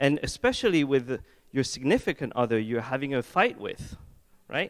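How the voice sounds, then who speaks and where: A man with a French accent talks at a moderate pace, his pitch swinging very widely, on a very clean recording with a silent background. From France. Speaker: head of product design. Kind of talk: conference talk. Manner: casual, joking.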